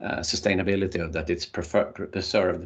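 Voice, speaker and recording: A man speaks at a fairly quick pace with a non-native accent and a somewhat breathy voice. The background is quiet. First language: not English. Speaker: workshop trainer. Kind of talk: online workshop lecture. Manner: halting, many repetitions and fillers.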